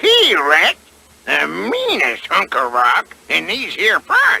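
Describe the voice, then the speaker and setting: A man's cartoonish character voice at a very slow pace. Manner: stammering, folksy.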